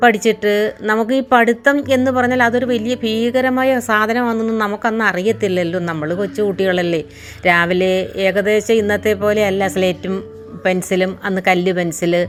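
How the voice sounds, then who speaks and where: A woman speaks at a medium pitch with ordinary variation. Noticeable background noise can be heard. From Kerala. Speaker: storyteller. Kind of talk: reminiscing monologue. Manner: halting.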